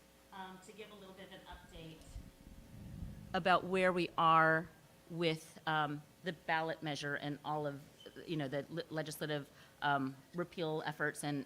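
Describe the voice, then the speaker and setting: Long, frequent pauses and big swings in loudness mark a woman's very deep, low voice, which has a bright, sharp tone and fairly even intonation. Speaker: election reform advocate. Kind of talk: presentation. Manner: fast.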